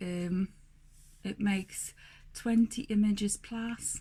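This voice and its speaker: A woman speaks in a medium pitch with a somewhat breathy, dark and mellow tone and fairly even intonation. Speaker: newborn photographer. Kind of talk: video blog tutorial. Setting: home studio.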